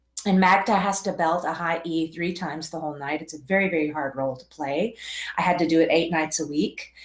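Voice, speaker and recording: With an American accent, the speaker goes at a fairly quick pace with fairly even intonation and big swings in loudness, over noticeable background noise. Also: woman, fairly low pitch for a woman. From Texas. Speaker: professional singer and vocal coach. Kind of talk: online workshop.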